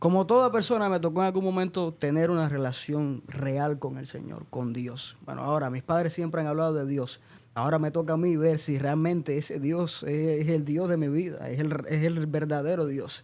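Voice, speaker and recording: With an unremarkable speaking voice, a man talks at a moderate pace, fairly high in pitch and with ordinary pitch variation. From Cuba (Santa Clara, central Cuba) until 13. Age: 20s. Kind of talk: podcast interview.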